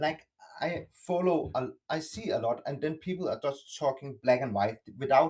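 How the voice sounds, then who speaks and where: A man speaks with a non-native accent and a fairly high pitch. His pace is moderate. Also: ordinary pitch variation. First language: not English. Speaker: participant in online discussion. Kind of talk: open group discussion. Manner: halting, many false starts.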